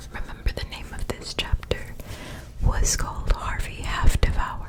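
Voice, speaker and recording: Whispering at a moderate pace, a woman is heard with big swings in loudness over noticeable background noise. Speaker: ASMR creator reading a book aloud. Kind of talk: ASMR whispered book reading. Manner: whispered, soft.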